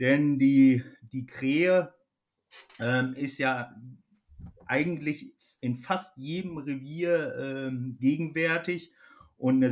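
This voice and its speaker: A man speaks at a very slow pace with long, frequent pauses. His pitch is fairly high and his intonation fairly even. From Germany, Ostwestfalen (Kreis Höxter). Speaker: hunting expert, company manager. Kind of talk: casual expert interview.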